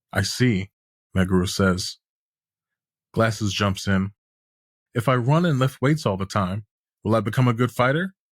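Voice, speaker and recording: A man at fairly low pitch and a moderate pace, ordinary pitch variation, in a very clean recording with a silent background and a dry, close sound with no echo. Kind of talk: scripted audio series narration of a manga recap.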